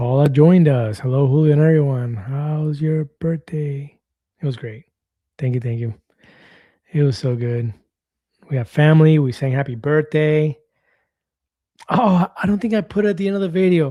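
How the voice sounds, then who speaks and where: Somewhat breathy and dark, mellow in tone, a man speaks with long, frequent pauses on a very clean recording with a silent background. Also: ordinary pitch variation. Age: 50s. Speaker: weight-loss vlogger. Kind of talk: live stream chat reading comments. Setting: live stream. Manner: fast.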